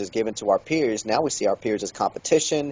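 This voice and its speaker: A man's ordinary speaking voice at a fairly quick pace, with ordinary pitch variation and a dry, close sound with no echo. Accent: American. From Kansas City, Kansas. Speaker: pastor and author. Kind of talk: interview.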